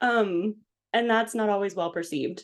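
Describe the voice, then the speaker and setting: A woman at medium pitch and a moderate pace, with ordinary pitch variation over a quiet background. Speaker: podcast guest. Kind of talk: casual chat. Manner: gets louder when excited.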